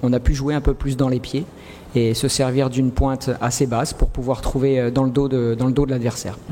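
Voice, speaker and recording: Monotone, flat intonation from a man, with noticeable background noise. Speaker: football coach. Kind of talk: press conference. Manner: halting, many fillers and repetitions.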